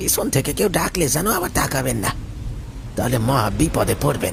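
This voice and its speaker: A man speaks at a moderate pace and medium pitch in a put-on character voice, with loud background noise behind him. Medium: audio drama. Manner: shifts from humble to sinister.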